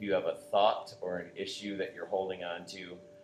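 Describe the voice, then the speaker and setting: A man with an American accent speaks at a moderate pace. Music plays in the background. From New York state. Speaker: yoga instructor. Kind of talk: guided yoga class instruction; casual chat before class. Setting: yoga studio class with participants.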